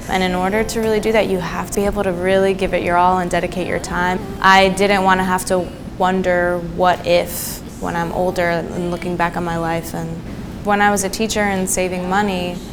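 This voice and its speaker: With monotone, flat intonation, a woman of medium pitch speaks at a fairly quick pace amid audible room echo and noticeable background noise. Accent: American. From New Jersey and Greece. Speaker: singer-songwriter. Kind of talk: interview monologue.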